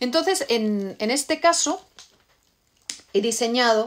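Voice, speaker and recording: This woman's intonation moves in a lively way. She takes things at a fairly slow pace. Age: middle-aged. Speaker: novelist; novelist talking with readers. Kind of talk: live stream Q&A with readers. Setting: live video stream from home. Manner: halting, many repeated words. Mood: warm, relaxed. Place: home room. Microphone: phone near.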